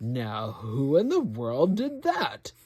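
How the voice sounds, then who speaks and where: Set at a low-to-middle pitch, the clip features a put-on character voice. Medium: read story.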